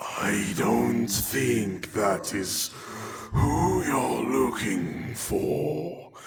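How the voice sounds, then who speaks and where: Using a raspy, put-on character voice, a man speaks very slowly at a very deep, low pitch with very wide pitch swings. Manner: ominous.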